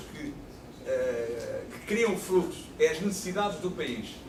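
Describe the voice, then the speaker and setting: With a European Portuguese accent, a man talks in very wide pitch swings over noticeable background noise and audible room echo. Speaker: professor, panelist. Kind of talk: panel discussion.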